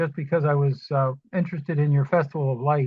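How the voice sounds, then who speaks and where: A woman's somewhat breathy voice, dry and close with no echo, over a quiet background. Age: 70s. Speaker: class participant. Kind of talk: casual self-introduction. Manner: halting.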